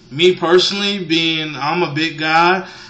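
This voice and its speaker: In a room with audible echo and noticeable background noise, a man speaks with fairly even intonation. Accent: American. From US. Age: 20s. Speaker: vlogger. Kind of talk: vlog monologue. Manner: hesitant, many fillers.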